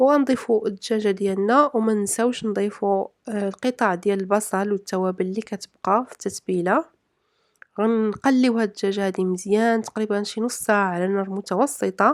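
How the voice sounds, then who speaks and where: A woman with a Moroccan accent, medium pitch and moderate pace, in a dry, close sound with no echo. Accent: Moroccan Arabic (Darija). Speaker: cooking vlogger. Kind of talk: cooking tutorial narration. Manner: halting, with fillers.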